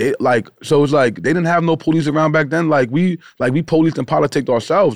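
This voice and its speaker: Speaking very fast with hardly any pauses, a man with a Long Island accent keeps a very even loudness and a fairly high pitch, with ordinary pitch variation. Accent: Long Island New York. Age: 30s. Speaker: podcast host. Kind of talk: casual chat. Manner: fast talker.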